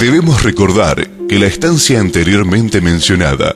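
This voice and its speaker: Fairly low male voice with very wide pitch swings at a fairly slow pace, music in the background. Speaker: documentary narrator. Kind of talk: documentary narration.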